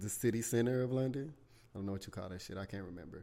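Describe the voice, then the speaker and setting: An animated man's voice, fairly low in pitch, with ordinary pitch variation. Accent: Southern US. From South Carolina, US South. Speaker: podcast host. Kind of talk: casual chat, solo podcast talk. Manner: animated, casual, profanity-heavy.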